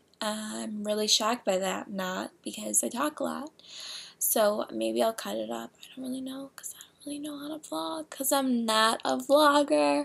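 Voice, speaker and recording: A woman with an American accent speaks at a fairly slow pace. Her fairly high voice has lively intonation. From Chicago. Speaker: blogger. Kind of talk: casual vlog talk. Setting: at home. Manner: halting with many fillers.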